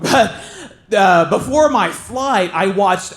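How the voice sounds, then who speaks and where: With a Southern accent and lively intonation, a man speaks amid audible room echo. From southern Ohio, Appalachian border. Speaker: stand-up comedian. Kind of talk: stand-up. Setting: stage with audience.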